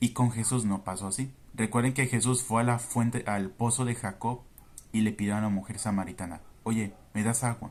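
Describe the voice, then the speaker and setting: The pace here is moderate. Pitch varies in an ordinary way. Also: man. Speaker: Bible teacher. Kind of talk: Bible study commentary.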